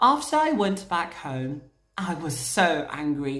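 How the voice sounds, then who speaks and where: A woman speaks with a British accent. There is audible room echo and noticeable background noise. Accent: British-leaning English, learned. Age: 20s. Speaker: vlogger. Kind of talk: casual storytelling vlog.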